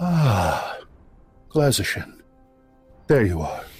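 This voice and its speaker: With faint music in the background, a man uses a put-on character voice at a medium pitch with very wide pitch swings. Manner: familiar, greeting.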